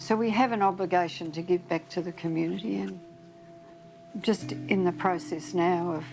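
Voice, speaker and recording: A woman speaks at a moderate pace with an Australian accent. Noticeable background noise runs underneath. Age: 80s+. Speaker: bookshop owner and activist. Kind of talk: interview testimony.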